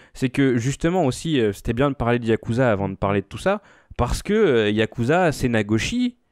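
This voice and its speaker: A man at a moderate pace with ordinary pitch variation, dry sound with no echo, and a quiet background. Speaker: podcast host. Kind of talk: casual chat. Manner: animated. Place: home room. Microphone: studio mic.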